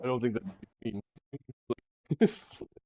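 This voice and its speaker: A man mumbles in a put-on character voice at a medium pitch. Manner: mumbling, muffled.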